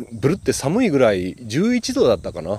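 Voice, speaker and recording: A man at a fairly quick pace. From Okayama, Japan. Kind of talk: casual solo talk and interview chat. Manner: cheerful, talkative, animated.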